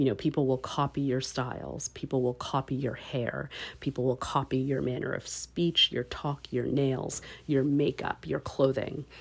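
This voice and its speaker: A woman with a very deep, low pitch and vocal fry speaks at a moderate pace with fairly even intonation. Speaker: podcast host. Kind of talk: solo podcast monologue, casual. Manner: laughs often, conversational, with filler words.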